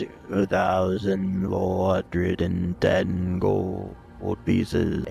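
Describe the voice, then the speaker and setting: A man puts on a guttural character voice and speaks at a very slow pace. Music plays clearly in the background. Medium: actual play. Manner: menacing.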